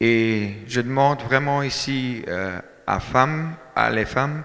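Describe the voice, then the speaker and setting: A man with a German accent talks at a very slow pace in a medium pitch. His pitch variation is ordinary, and the room echo is audible. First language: German (speaking French). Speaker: dairy farmer, farmers' union speaker. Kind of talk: speech at a meeting. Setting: hall with audience. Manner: halting, many hesitations.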